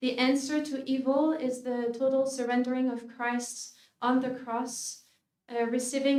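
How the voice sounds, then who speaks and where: Audible room echo surrounds a woman with a French accent who speaks at a fairly slow pace with high pitch and monotone, flat intonation. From France, Paris. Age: 40s. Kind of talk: conference talk. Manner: hesitant with many fillers.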